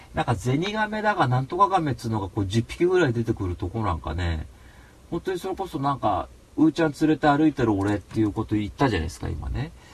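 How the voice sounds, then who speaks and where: A man speaks very fast at a medium pitch, his voice swinging very widely up and down. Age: 30s. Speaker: podcast host. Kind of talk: casual chat. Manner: animated.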